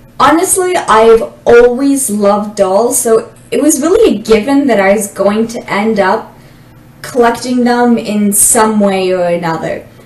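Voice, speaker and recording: Speaking with a Canadian accent, a woman uses lively intonation at a fairly high pitch and a fairly slow pace, with noticeable background noise and audible room echo. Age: 20s. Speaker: doll collector, university student. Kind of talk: casual self-introduction monologue.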